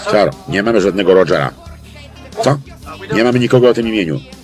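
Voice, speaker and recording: Clear music plays in the background as a man with a fairly low pitch speaks at a very fast pace, the sound dry with no echo. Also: lively intonation. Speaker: film voice-over lector. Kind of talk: film voice-over translation reading. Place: booth. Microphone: studio mic.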